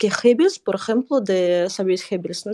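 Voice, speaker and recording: In a Russian accent, a woman speaks with a dark, mellow tone and ordinary pitch variation, recorded dry and close with no echo against a quiet background. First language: Russian (speaking Spanish). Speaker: guest expert on Russian culture. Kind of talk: live panel discussion.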